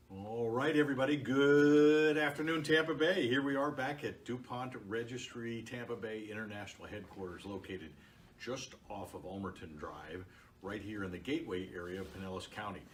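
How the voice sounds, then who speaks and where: A man at a medium pitch with lively intonation, at a moderate pace, against noticeable background noise. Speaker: podcast / Facebook Live host. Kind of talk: interview host, casual talk to camera.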